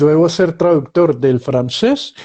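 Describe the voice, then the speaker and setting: A man with a fairly high pitch and a dark, mellow tone. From Colombia. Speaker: writer and journalist. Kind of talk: interview. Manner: halting.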